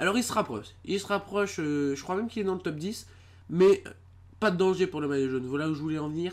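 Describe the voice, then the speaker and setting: The recording is very clean and the background silent. Words come out at a very fast clip. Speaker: gaming video creator. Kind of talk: gameplay commentary. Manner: hesitant, many fillers.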